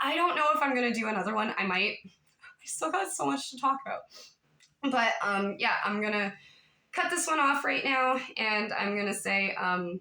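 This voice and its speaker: A woman speaks with a fairly high pitch and an animated tone. Her pitch swings very widely. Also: moderate pace. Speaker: YouTube commentator. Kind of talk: casual vlog monologue.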